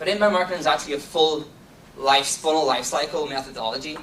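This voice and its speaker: A man with a Donegal accent talks at a fairly quick pace and fairly high pitch, with ordinary pitch variation. Audible room echo and noticeable background noise come through. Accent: Donegal Irish. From Ireland, County Donegal. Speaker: marketing executive. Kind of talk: conference talk. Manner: fast.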